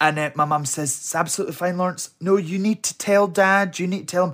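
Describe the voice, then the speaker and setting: On a very clean recording with a silent background, a man with a west of Scotland accent speaks at a fairly quick pace. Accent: Scottish (west of Scotland). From Scotland, Helensburgh near Glasgow. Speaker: drag performer. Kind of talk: casual interview chat.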